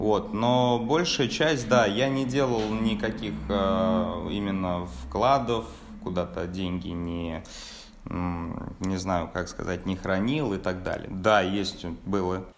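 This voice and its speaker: Words come at a very slow pace. The room adds audible echo. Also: man, fairly low pitch for a man, ordinary pitch variation. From Russia, Samara region (Tolyatti). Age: 20s. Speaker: sales department manager. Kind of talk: interview. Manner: halting.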